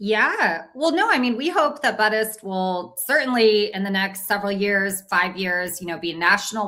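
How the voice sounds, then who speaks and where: A woman with an American accent talks at a moderate pace and medium pitch, in an unremarkable speaking voice. Her pitch varies in an ordinary way. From US West Coast, Orange County California. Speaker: cannabis company co-founder. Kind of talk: interview.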